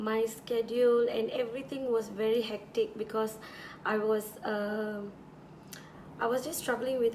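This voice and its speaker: Monotone, flat intonation at a moderate pace, over noticeable background noise. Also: woman. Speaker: beauty vlogger. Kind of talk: casual chat. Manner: relaxed.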